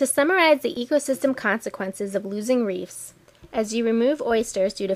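A woman talks at a fairly quick pace with ordinary pitch variation in an unremarkable speaking voice. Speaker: narrator. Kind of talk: scripted documentary narration. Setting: studio voiceover. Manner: clear, measured, formal.

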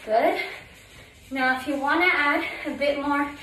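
A woman's raised, projected voice at a fairly slow pace, with audible room echo and light background noise. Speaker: fitness instructor. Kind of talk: workout instruction cues. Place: home room.

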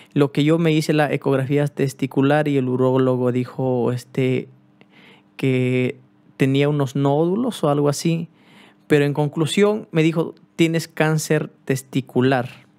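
A man at a fairly high pitch, with very even loudness, fairly even intonation and a fairly slow pace. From Peru. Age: 30s. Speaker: cumbia musician; youtuber. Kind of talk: personal vlog. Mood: serious, subdued. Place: home room. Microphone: studio mic.

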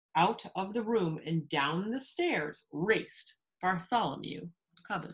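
Quiet surroundings and plain reading aloud

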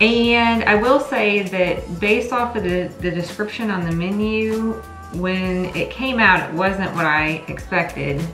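Clear music plays in the background as a woman talks at a fairly slow pace. The room echo is audible. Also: ordinary pitch variation. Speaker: vlogger reviewing a restaurant. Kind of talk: casual vlog chat. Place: home room.

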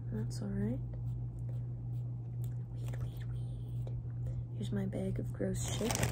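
Loud background noise accompanies speech at a very slow pace with long, frequent pauses. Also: woman. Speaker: ASMR streamer. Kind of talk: ASMR casual talk to camera. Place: home room. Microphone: phone near.

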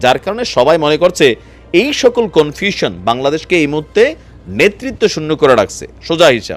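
Over music in the background, a man speaks with lively intonation. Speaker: political news YouTuber. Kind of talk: news commentary. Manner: laughs while talking; casual, conversational.

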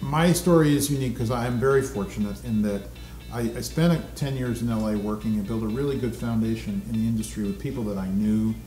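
A man at a very fast pace, with audible room echo and faint music in the background. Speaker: guest actor being interviewed. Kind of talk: interview answer. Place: studio.

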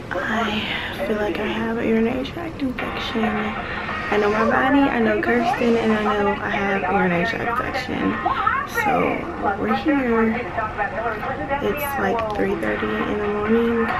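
A woman at a moderate pace, with ordinary pitch variation and long, frequent pauses, over clear music in the background. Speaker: vlogger. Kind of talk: casual vlog chat. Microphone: phone near.

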